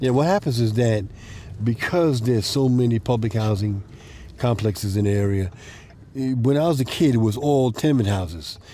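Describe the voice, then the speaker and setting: Over noticeable background noise, the speaker has an American accent and ordinary pitch variation. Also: man. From Brooklyn, New York City. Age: 60s. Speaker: community organizer. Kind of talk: casual walking tour.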